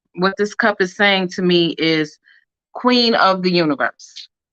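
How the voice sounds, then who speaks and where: At a fairly slow pace, a woman with a normal speaking voice talks at a medium pitch with ordinary pitch variation. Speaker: crafter and live-stream host selling rhinestones. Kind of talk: live craft tutorial stream. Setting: live stream. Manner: casual, chatty.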